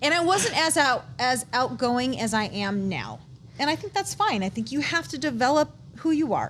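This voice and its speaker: A woman with an American accent speaks at a high pitch, her voice making very wide pitch swings. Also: moderate pace. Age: 40s. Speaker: guest sharing life story. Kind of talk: casual interview chat. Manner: halting, self-correcting.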